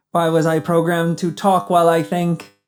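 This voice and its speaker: A man puts on a character voice, pitched high and spoken at a fairly quick pace. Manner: mechanical, flat.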